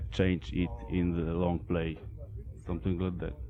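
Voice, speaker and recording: A man talks with a Polish accent. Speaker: metal band vocalist and bassist. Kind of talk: interview. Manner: halting.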